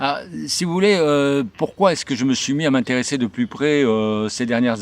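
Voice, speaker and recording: At a moderate pace, a man talks at a medium pitch with lively intonation. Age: 60s. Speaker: journalist and writer. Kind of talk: video channel introduction. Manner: halting, many hesitations.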